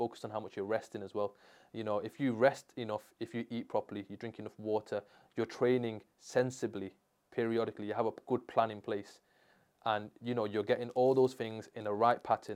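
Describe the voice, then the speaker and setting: A man with a strong Manchester accent speaks fairly quickly at medium pitch in a monotone, flat intonation. The recording is very clean with a silent background. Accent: Manchester (Mancunian), strong. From Manchester, England. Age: 20s. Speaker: sports rehabilitation therapist. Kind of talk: casual interview chat. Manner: casual, slangy.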